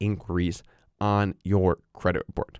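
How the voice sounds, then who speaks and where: A man with a plain, everyday voice and a fairly low pitch speaks at a moderate pace, recorded dry and close with no echo on a very clean recording with a silent background. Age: young. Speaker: podcast host. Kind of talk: educational podcast talk.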